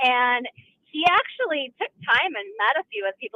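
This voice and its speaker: A woman with an Upper Midwest accent and ordinary pitch variation. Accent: Upper Midwest American. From Milwaukee area, Wisconsin. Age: 50s. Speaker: caller. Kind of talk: call-in radio.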